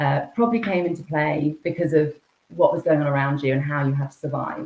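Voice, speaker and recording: A woman with a very deep, low pitch at a fairly quick pace. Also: ordinary pitch variation. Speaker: executive coach. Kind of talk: podcast interview. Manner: fast; jittery.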